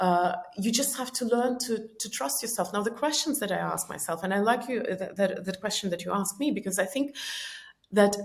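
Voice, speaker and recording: A woman talks at a moderate pace in a medium pitch. Her intonation is lively and her voice somewhat breathy. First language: Estonian or Russian. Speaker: personal growth author and speaker. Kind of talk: podcast interview. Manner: many filler words and self-corrections.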